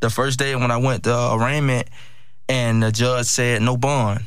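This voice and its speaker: Audible room echo around a man's medium-pitched voice, with an American accent, at a moderate pace and in monotone, flat intonation. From Miami, Florida (Liberty City). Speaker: former college football player. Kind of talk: interview. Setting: studio.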